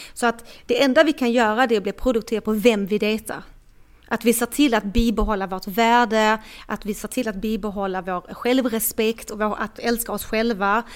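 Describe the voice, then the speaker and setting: Here is a plain, everyday voice at a moderate pace with fairly even intonation. The recording is very clean, the background silent. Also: woman, fairly high pitch for a woman. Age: 40s. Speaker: dating coach. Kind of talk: casual chat. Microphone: microphone problems at end, rustling sound.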